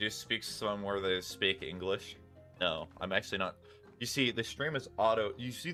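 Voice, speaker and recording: A man's voice sits fairly low and moves at a moderate pace. Its pitch varies normally, with music playing in the background. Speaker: streamer. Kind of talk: casual, joking.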